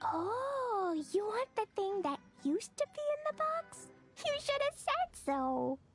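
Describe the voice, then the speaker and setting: A put-on character voice rises to an extremely high pitch with very wide pitch swings at a fairly slow pace. Clear music plays in the background. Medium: video game. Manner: breezy, evasive.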